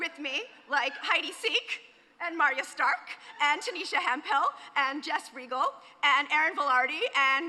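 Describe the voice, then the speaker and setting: A woman with an American accent speaks in a high-pitched, raised and projected voice. There is noticeable background noise. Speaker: executive director of a creative agency, conference speaker. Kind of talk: conference talk. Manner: fast; animated.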